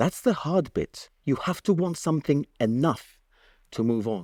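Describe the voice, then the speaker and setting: A man with a Gibraltarian accent, fairly slow, his pitch swinging very widely, in a dry, close sound with no echo and a very clean recording with a silent background. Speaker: broadcaster and news presenter. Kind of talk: public talk. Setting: stage with audience. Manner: animated.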